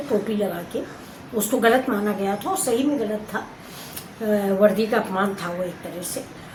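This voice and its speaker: Her pitch is medium and shifts in an ordinary way. A woman talks through audible room echo and noticeable background noise. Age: 60s. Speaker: cooking and lifestyle vlogger. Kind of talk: casual talk to camera.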